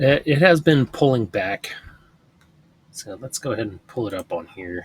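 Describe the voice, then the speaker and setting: A man mumbles with lively intonation and big swings in loudness. The sound is dry and close with no echo. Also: medium pitch for a man, moderate pace. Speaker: stock trading video creator. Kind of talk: screen-share trading commentary. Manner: mumbling, thinking out loud; casual, halting.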